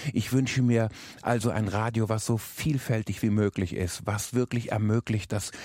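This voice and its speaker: A man's fairly low voice with a dark, mellow tone and fairly even intonation, dry and close with no echo, in a very clean recording with a silent background. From rural area. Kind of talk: reflective statement.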